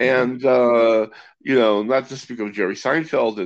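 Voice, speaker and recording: An ordinary speaking voice with an American accent at a moderate pace, over a quiet background. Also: man. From US West Coast, Los Angeles. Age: 60s. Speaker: magician. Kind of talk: casual chat.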